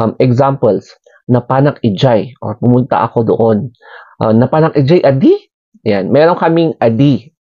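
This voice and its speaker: Ordinary pitch variation marks the speech. The pace is moderate. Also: man. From Philippines, Cordillera (Baguio, Benguet). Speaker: vlogger. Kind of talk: casual explainer vlog. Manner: hesitant, many fillers.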